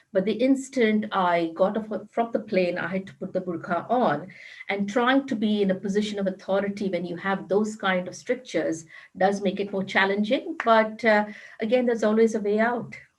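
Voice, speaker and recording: A woman with a strong Indian accent talks at a moderate pace, her voice somewhat breathy and her loudness swinging widely. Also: medium pitch for a woman, ordinary pitch variation. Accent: Indian, still strong. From India, Mumbai. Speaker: corporate HR executive. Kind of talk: panel discussion.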